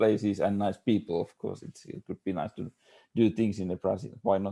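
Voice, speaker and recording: With a Finnish accent, a man speaks at a fairly quick pace and fairly low pitch, his tone dark and mellow and his intonation fairly even. His loudness swings widely, and the sound is dry and close with no echo. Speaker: architect. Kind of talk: panel discussion. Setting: video call. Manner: halting.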